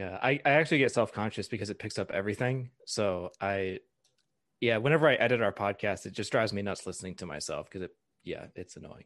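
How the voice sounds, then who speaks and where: A man speaks very fast, his fairly low voice showing ordinary pitch variation. His loudness swings widely against a quiet background. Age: 30s. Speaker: pastor. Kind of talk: casual interview.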